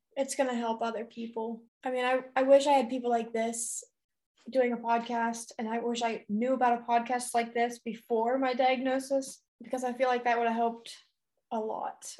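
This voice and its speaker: At a moderate pace, a woman speaks in a high pitch with monotone, flat intonation. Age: 20s. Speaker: breast cancer survivor. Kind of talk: casual interview chat. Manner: calm, patient.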